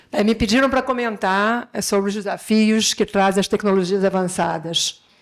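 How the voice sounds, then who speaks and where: Her medium-pitched voice stays at very even loudness with fairly even intonation as the woman speaks. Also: moderate pace. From Brazil. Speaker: education technology executive, panelist. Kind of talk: conference panel talk. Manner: halting, many filler sounds.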